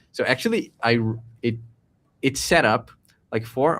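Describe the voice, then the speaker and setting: Recorded very cleanly against a silent background, a man with a Portuguese accent speaks at a medium pitch. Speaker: tech entrepreneur co-host. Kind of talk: casual chat. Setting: live stream. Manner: halting.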